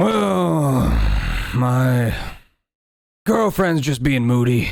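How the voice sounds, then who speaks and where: A man puts on a rumbling character voice at a medium pitch. He speaks at a very slow pace. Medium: actual play. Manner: curt, grumbling.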